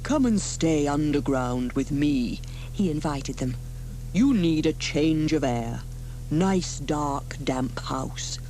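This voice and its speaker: A put-on character voice at a fairly slow pace, against clearly audible background noise. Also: woman, very deep, low pitch for a woman. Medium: read story.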